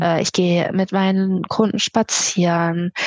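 Very slow speech comes through with a dry, close sound and no echo. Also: woman. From Lower Saxony, Germany (Melle near Osnabrück). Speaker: photographer. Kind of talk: interview. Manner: hesitant, many filler sounds.

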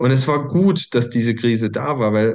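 The background stays quiet as a man talks at a medium pitch. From Germany, small village. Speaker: coach and podcast host. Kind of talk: personal story monologue. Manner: hesitant, many fillers.

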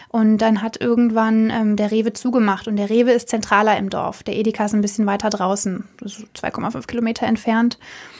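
A woman talks at a moderate pace with hardly any pauses. Her fairly high voice has monotone, flat intonation. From Germany, Cologne. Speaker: journalism intern. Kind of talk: interview.

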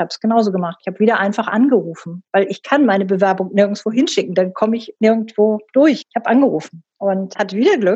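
The voice is dark, mellow and somewhat breathy, racing along at a very fast pace with ordinary pitch variation. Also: woman. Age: 60s. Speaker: company board member and professor. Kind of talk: interview.

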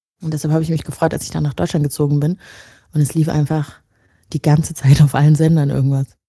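A woman speaks very fast in a very deep, low voice, somewhat breathy and dark, mellow in tone, with monotone, flat intonation. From Rwanda, moved to Germany at ten. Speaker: editor, podcaster and writer. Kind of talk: casual chat.

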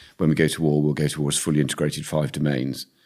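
The voice carries vocal fry and a British accent. It moves at a very fast pace with monotone, flat intonation. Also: man. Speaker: retired air force officer. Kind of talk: interview.

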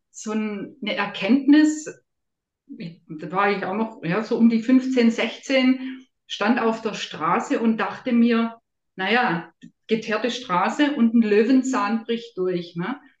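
Somewhat breathy and fairly high, a woman's voice moves at a very slow pace with ordinary pitch variation. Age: 50s. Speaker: health coach and nutrition expert. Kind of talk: interview.

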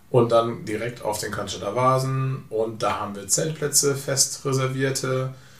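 Audible room echo surrounds a man speaking at a medium pitch. His pace is fairly slow, with fairly even intonation and hardly any pauses. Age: 40s. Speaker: travel company owner. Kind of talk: casual interview. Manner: hesitant, many fillers.

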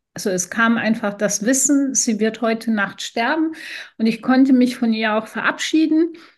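Her pitch is fairly high, and this woman talks at a fairly slow pace. Her voice is somewhat breathy, with lively intonation. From Iran. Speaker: podcast co-host and businesswoman. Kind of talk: personal storytelling in casual chat.

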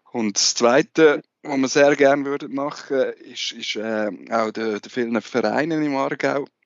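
With a normal speaking voice at medium pitch, a man speaks at a fairly slow pace with hardly any pauses, ordinary pitch variation and big swings in loudness. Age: 30s. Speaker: sports journalist, co-host. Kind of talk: casual interview.

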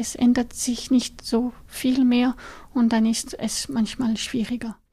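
A woman's high, dark, mellow voice in a French accent, very slow and with fairly even intonation. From French-speaking Switzerland, Lausanne. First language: French (speaking German). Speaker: neuroscientist. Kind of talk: interview. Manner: halting, frequent fillers.

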